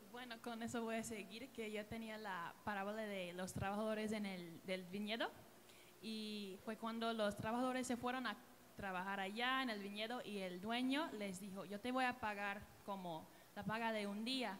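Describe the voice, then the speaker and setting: The voice moves at a moderate pace with fairly even intonation, with audible room echo and noticeable background noise around it. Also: woman, fairly high pitch for a woman. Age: 20s. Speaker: church singer. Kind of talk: church panel discussion.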